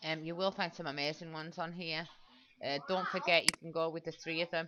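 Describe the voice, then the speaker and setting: A woman at a fairly quick pace, with monotone, flat intonation. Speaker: online marketing coach. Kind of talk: tutorial. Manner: fast.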